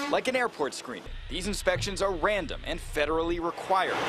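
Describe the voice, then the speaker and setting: Speaking with lively intonation at a moderate pace, a man is heard against noticeable background noise. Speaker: TV news reporter and anchor. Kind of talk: TV news report.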